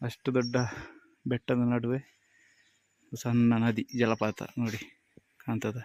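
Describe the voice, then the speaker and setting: A man's medium-pitched voice stays monotone, his intonation flat. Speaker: truck driver vlogger. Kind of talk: casual vlog narration. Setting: in and around a delivery truck.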